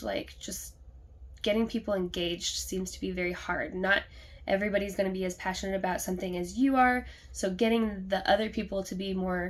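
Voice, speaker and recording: With an American accent, a woman speaks at a fairly quick pace and medium pitch with fairly even intonation. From US Midwest, southern Illinois. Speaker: nurse. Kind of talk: class presentation reflection. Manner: fast.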